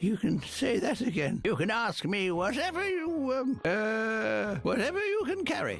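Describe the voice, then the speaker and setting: Over light background noise, a put-on character voice with a fairly high pitch moves at a moderate pace. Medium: video game. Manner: rambling, chuckling, digressive.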